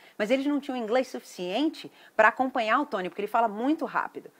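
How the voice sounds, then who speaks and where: Animated in tone, a woman with a Brazilian accent speaks at a high pitch with lively intonation. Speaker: event promoter. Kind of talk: sales pitch. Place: garden. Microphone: phone near.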